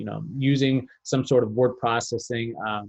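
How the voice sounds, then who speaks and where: A man speaks at medium pitch. His voice is somewhat breathy. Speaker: workshop presenter. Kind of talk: webinar tutorial. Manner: fast; halting, many fillers.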